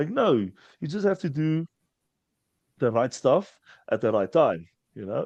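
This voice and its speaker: Over a quiet background, a man with a South African accent talks at a moderate pace in a dark, mellow tone, the sound dry and close with no echo. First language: Afrikaans. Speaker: strongman athlete. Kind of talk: casual chat. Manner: halting, repeats words.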